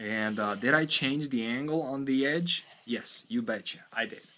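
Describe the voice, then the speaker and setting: A man with a non-native accent, medium pitch, a bright, sharp tone, lively intonation and a fairly slow pace. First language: not English. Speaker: knife sharpening youtuber. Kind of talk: tutorial. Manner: casual, thinking aloud with fillers.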